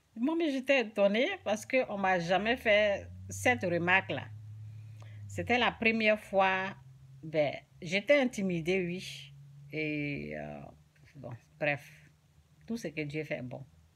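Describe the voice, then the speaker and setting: A woman speaks at a medium pitch and a very slow pace, with long, frequent pauses. Her pitch swings very widely and her loudness varies greatly, on a very clean recording with a silent background. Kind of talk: informal religious teaching. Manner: soft-spoken; halting.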